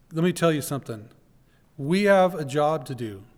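A man's fairly high voice at a moderate pace, with ordinary pitch variation and audible room echo. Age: 40s. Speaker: pastor. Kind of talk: sermon. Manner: halting.

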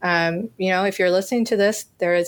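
This woman has an ordinary speaking voice, medium in pitch, with fairly even intonation. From US South. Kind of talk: roundtable discussion.

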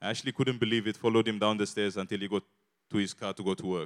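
A man speaks with an Eritrean accent at a fairly low pitch. The sound is dry and close with no echo, on a very clean recording with a silent background. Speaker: church guest speaker. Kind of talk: testimony. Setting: church.

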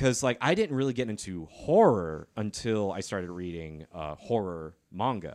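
With an American accent and a normal speaking voice, a man of fairly low pitch talks at a moderate pace with lively intonation and hardly any pauses. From South Carolina. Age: 30s. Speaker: artist and former balloon twister. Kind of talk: casual chat.

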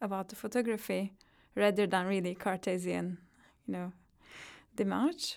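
A woman with a Turkish accent on a very clean recording, the background silent. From Turkey. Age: 30s. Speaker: psychologist and visual artist. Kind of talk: interview.

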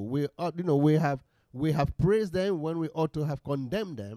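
In a dry, close recording with no echo, a man's fairly high voice has a dark, mellow tone and ordinary pitch variation. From Sierra Leone. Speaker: bishop. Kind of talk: interview. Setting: office.

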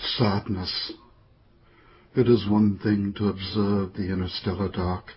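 A man's solemn, somewhat breathy voice, fairly low in pitch, at a very slow pace with long, frequent pauses and a monotone, flat intonation. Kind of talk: poetry reading, poem performed aloud. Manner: slow, measured, contemplative; solemn, reflective, somber.

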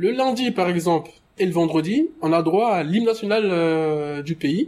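Very slowly, a man talks at a high pitch with ordinary pitch variation. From Côte d'Ivoire village, then France from about age 7. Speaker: radio contributor sharing childhood memories. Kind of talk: personal storytelling. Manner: hesitant, with filler sounds.

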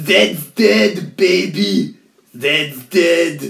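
A man puts on a character voice. His pitch sits fairly high. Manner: reading lines, impersonating; silly, exaggerated delivery.

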